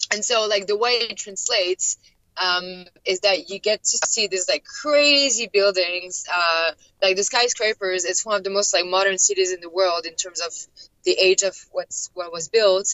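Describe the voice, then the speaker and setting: A woman speaks with a French accent at a moderate pace. Her pitch is medium, with ordinary variation. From France, Paris. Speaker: expat traveler. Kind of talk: interview. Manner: hesitant, many fillers.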